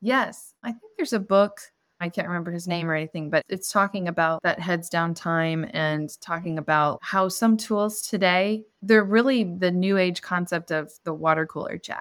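An unremarkable speaking voice moves at a moderate pace with ordinary pitch variation and hardly any pauses, on a very clean recording with a silent background. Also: woman, fairly low pitch for a woman. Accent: American. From Indiana, US Midwest. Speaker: freelance copywriter. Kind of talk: podcast interview.

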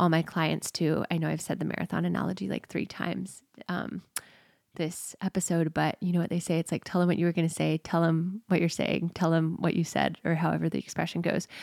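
Recorded very cleanly with a silent background and a dry, close sound with no echo, a woman with an American accent and a fairly low pitch speaks at a fairly quick pace. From Houston, Texas. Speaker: podcast host and coach. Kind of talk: casual monologue with guided meditation. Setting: childhood bedroom at home.

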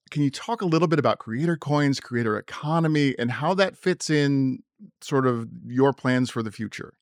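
Recorded dry and close with no echo over a quiet background, a man has an ordinary speaking voice, fairly high in pitch with ordinary pitch variation. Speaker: podcast host. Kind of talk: interview, podcast intro.

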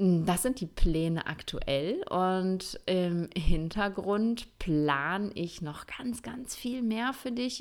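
The woman speaks at a medium pitch with ordinary pitch variation. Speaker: Ayurveda coach and podcast host, former physician. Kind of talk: solo podcast monologue. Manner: casual, many filler sounds.

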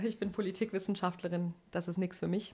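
A woman's medium-pitched voice moves along at a fairly quick pace. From Sauerland, NRW, Germany. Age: 40s. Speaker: insurance executive. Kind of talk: interview. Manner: animated.

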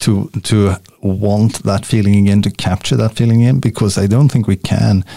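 Pitched fairly low, a man's voice has a dark, mellow tone. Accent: Swedish. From Sweden. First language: Swedish. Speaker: podcaster and workplace relationship coach. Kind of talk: casual interview chat. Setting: video call.

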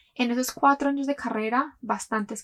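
Here is a woman with a plain, everyday voice at a moderate pace. Her intonation is fairly even, and the sound is dry and close with no echo. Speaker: podcast host. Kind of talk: personal storytelling monologue.

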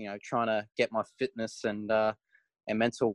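In an Australian accent, a man speaks at a medium pitch with a dry, close sound and no echo. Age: 20s. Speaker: racing driver. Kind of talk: interview.

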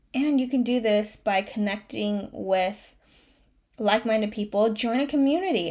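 At a moderate pace and with ordinary pitch variation, the voice comes through a very clean recording with a silent background. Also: woman. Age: 30s. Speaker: life coach podcaster. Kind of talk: pep talk; solo motivational monologue. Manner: passionate, emotional, earnest; animated, pep-talk urgency, repeating for emphasis.

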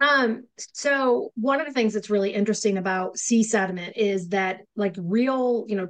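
With an American accent, a woman speaks at medium pitch and a moderate pace, with ordinary pitch variation. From upstate New York. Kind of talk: casual chat podcast.

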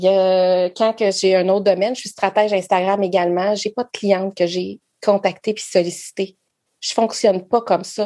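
Her voice is dark and mellow, at a medium pitch for a woman. The intonation stays monotone and flat, while the loudness swings widely. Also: moderate pace, quiet background. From Quebec. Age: 40s. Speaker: network marketing entrepreneur. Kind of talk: casual interview.

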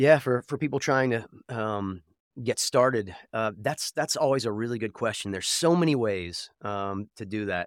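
A man with a slight Southern US accent, medium pitch and ordinary pitch variation, in a dry, close sound with no echo and a very clean recording with a silent background. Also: moderate pace. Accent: slight Southern twang. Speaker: voice actor. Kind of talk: interview guest, casual chat.

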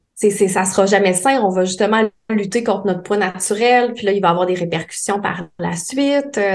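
A woman speaks at a moderate pace and medium pitch in a normal speaking voice with ordinary pitch variation. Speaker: psychologist specializing in eating disorders. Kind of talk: casual chat.

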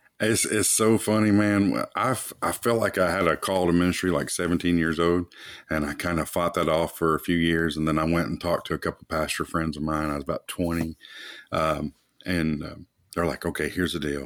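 A man speaks with a Kentucky accent. His pitch is very deep and low. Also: fairly even intonation, fairly quick pace. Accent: Kentucky Southern US. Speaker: church planter and pastor. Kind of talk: casual interview.

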